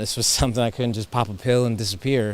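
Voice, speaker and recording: He has a normal speaking voice, medium in pitch, with an American accent. This man's intonation stays fairly even. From US East Coast. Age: 30s. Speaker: cancer survivor sharing faith story. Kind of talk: testimony.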